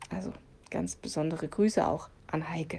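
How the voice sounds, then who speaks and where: A woman's voice comes across with a dark, mellow tone. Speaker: devotional podcast host. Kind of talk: reading aloud.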